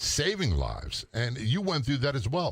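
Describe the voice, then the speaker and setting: A man's fairly high-pitched voice shows vocal fry and very wide pitch swings. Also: very clean recording, silent background. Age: 60s. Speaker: retired police officer and radio host. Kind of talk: casual chat.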